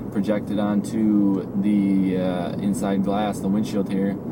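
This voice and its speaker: Speaking in a relaxed tone, a man has a fairly low pitch. Audible room echo and noticeable background noise surround him. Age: 20s. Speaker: car reviewer. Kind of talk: casual vlog while driving. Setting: in a car. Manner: casual, relaxed.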